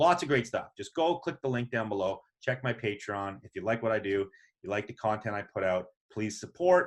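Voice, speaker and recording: A man with a plain, everyday voice speaks at a medium pitch and a fairly quick pace, with lively intonation. The recording is very clean with a silent background. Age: 40s. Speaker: podcast host. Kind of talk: casual chat; podcast outro.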